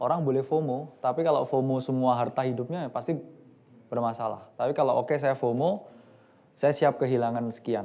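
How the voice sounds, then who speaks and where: A man speaks fairly quickly at a medium pitch, his dark, mellow tone held at very even loudness with fairly even intonation. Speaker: investment expert on a panel. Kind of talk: panel discussion. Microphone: microphone just switched on, may be quiet.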